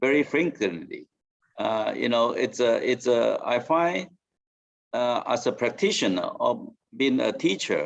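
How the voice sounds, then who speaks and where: Here a man speaks with a Mandarin accent. His pace is fairly slow. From Taiwan. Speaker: professor. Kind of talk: debate speech. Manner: halting, many fillers.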